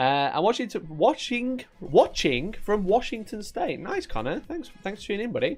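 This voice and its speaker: Speaking in a strong Yorkshire accent, a man with a high pitch sounds animated, using very wide pitch swings at a moderate pace with hardly any pauses. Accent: thick Yorkshire. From Yorkshire, England. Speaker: wargaming streamer. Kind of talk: live stream chat. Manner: casual, animated.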